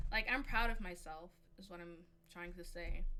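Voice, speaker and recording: A woman speaks with fairly even intonation, and audible room echo surrounds her voice. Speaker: streamer. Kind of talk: casual chat.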